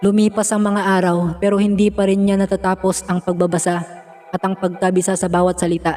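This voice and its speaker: With music in the background, a man talks at a fairly quick pace and a high pitch. His loudness is very even and his intonation monotone and flat. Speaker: horror story narrator. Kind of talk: horror story narration.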